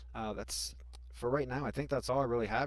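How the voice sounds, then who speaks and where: Vocal fry runs through this man's lively intonation as he speaks at a very fast pace. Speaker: YouTuber teaching software tips. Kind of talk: screen-recorded tutorial. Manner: pauses often; sometimes speaks fast.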